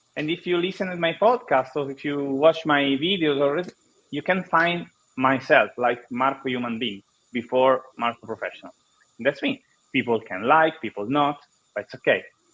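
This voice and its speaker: In an Italian accent, a man talks at a moderate pace with a fairly high pitch and ordinary pitch variation. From Italy. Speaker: marketing consultant and podcaster. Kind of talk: panel discussion. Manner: halting.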